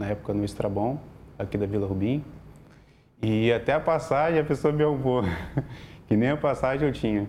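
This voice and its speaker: Medium in pitch, a man's voice moves at a fairly quick pace. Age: 30s. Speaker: logistics worker sharing financial recovery story. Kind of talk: interview testimony.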